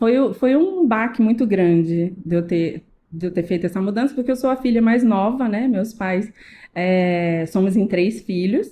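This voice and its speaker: A woman with a dark, mellow tone and a somewhat breathy voice speaks at a fairly slow pace and medium pitch, with ordinary pitch variation and very even loudness. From Rio de Janeiro, Brazil (Tijuca). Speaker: salon owner, businesswoman. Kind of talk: casual podcast interview.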